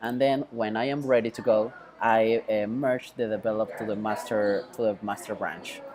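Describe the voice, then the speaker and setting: A man with a Mexican accent talks at a moderate pace and medium pitch in a flat monotone, with noticeable background noise. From Mexico. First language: Spanish. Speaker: web developer. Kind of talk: tutorial. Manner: halting, many fillers.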